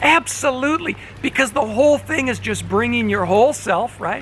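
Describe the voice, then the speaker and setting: Over noticeable background noise, a man speaks fairly quickly in a raised, projected voice, extremely high-pitched with lively intonation. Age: 60s. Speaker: pastor. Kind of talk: informal talk to congregation on video. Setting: outdoors by a fish pond. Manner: casual, conversational.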